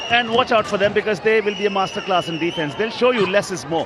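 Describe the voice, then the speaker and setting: Noticeable background noise runs under a man's high-pitched voice. He sounds animated, with ordinary pitch variation. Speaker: sports commentator. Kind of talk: live commentary. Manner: fast.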